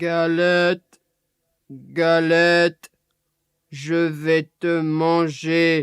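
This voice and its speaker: Using a put-on character voice, a man speaks at a high pitch in a monotone, flat intonation, very slowly, with long, frequent pauses. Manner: growling.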